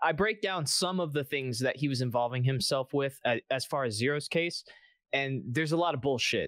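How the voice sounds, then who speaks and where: A man speaks at a fairly quick pace in an animated tone, his fairly high voice showing ordinary pitch variation, on a very clean recording with a silent background and a dry, close sound with no echo. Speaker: content creator, game community commentator. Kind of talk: casual chat. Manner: profane, animated.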